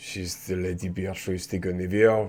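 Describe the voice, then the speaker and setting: A put-on character voice from a man, very deep and low, monotone and flat, at a moderate pace. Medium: actual play. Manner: guarded.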